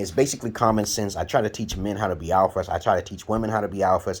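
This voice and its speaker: Speaking at a very fast pace, a man with a New York accent has a fairly low pitch. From Brooklyn, New York (Bed-Stuy). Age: 40s. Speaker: YouTuber. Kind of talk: casual monologue. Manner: halting.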